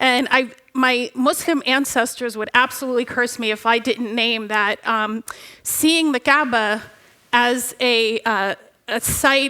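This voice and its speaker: Very slowly, a woman speaks in a high, bright, sharp tone with fairly even intonation. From Egypt. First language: Arabic. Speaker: religious educator. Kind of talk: panel discussion.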